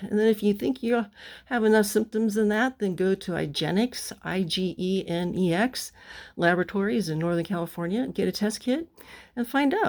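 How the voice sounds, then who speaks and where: A plain, everyday voice with ordinary pitch variation on a very clean recording with a silent background. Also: woman, medium pitch for a woman, moderate pace. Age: 60s. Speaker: sailing vlogger, boat owner. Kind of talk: casual vlog to camera. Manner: informal, conversational with fillers.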